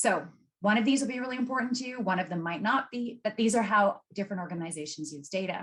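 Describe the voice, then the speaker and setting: A somewhat breathy woman's voice at medium pitch, with lively intonation and a fairly quick pace. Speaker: data expert giving a masterclass. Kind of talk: webinar presentation. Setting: video call. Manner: fast when excited.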